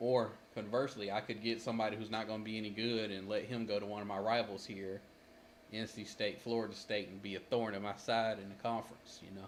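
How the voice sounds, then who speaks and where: Speaking very fast, a man keeps a monotone, flat intonation at a fairly low pitch. Noticeable background noise is present. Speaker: gaming streamer. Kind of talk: gameplay commentary.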